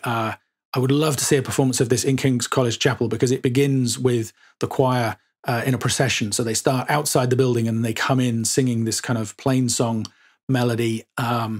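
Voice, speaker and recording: A medium-pitched man in a southern English accent at a moderate pace, on a very clean recording with a silent background. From England, Suffolk. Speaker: podcast host. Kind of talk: casual chat. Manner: hesitant, many fillers.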